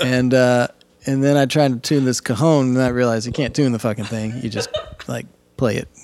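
A man speaks at a fairly quick pace with an American accent. His voice is at a medium pitch. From Indiana. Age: 40s. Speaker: drummer. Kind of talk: casual chat. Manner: animated.

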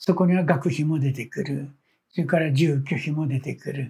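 Fairly high for a man, his somewhat breathy voice keeps a moderate pace and ordinary pitch variation. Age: 70s. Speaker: petal artist. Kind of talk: interview.

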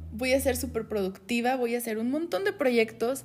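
This woman speaks at a high pitch, her intonation lively. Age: 20s. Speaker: podcast co-host, HR worker. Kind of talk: casual chat.

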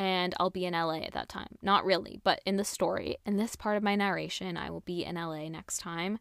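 A woman speaks at a fairly quick pace with a medium pitch and a plain, everyday voice. The recording is very clean, with a silent background. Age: 20s. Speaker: podcast host and breathwork facilitator. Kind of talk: personal storytelling monologue. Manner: casual, laughing often.

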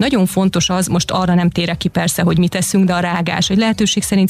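Over noticeable background noise, a woman speaks in a monotone, flat intonation at a fairly low pitch. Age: 40s. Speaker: yoga instructor. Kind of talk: radio interview. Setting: radio studio.

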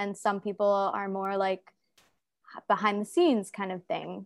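Speaking with an American accent, a woman keeps a moderate pace and a monotone, flat intonation. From United States. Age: 20s. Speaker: content creator and health coach. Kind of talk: casual interview chat.

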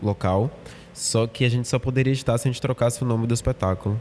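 This man speaks very fast at a medium pitch with fairly even intonation. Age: 20s. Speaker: theatre actor. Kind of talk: casual interview.

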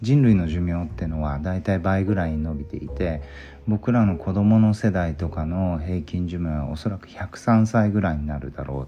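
A man with a very deep, low pitch talks with lively intonation. His pace is moderate, with music in the background. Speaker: physician. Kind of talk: solo podcast monologue. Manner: halting, many fillers.

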